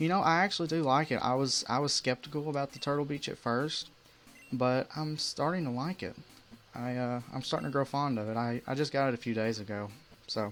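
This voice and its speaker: Music plays in the background as a man with an American accent speaks at a fairly quick pace. His pitch is medium, with ordinary variation. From US South. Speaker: gamer streamer. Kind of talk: live gameplay commentary. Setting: live stream. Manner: fast.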